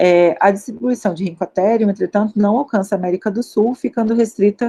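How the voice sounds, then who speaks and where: The speaker has a Carioca accent and ordinary pitch variation. The sound is dry and close, with no echo. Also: woman. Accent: Carioca (Rio de Janeiro) Portuguese. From Rio de Janeiro, Brazil. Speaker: paleontologist, postdoctoral researcher. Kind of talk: lecture. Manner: hesitant fillers.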